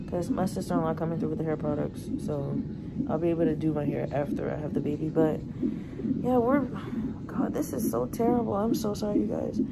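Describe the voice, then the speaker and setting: Speech moves at a fairly quick pace over loud background noise. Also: woman. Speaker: expectant mother vlogger. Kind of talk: casual vlog chat. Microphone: phone near.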